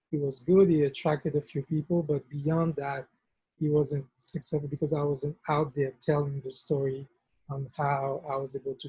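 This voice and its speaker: In a Haitian accent, a man speaks at a moderate pace in a flat monotone, his fairly high voice somewhat breathy with a dark, mellow tone and a dry, close sound free of echo. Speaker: nonprofit founder. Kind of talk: workshop discussion.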